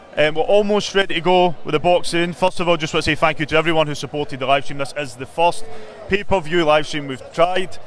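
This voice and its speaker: A man with a Glaswegian accent talks at a very fast pace in a fairly high pitch, with ordinary pitch variation. Noticeable background noise is present. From Glasgow, Scotland (Drumchapel). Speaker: boxing live stream presenter. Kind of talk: live broadcast presenting. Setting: ringside at boxing event.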